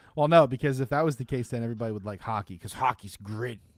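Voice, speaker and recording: Recorded with a dry, close sound and no echo, a man with a Philadelphia accent talks at a very fast pace with ordinary pitch variation. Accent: Delco Philadelphia. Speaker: sports podcast co-host. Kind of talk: casual chat.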